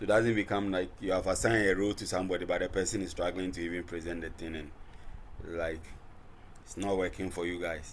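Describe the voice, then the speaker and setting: A man speaks in a very deep, low voice with flat, monotone intonation. He talks at a very fast pace, and the room echo is audible. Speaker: lecturer. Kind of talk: online class session. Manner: soft-spoken. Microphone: too quiet.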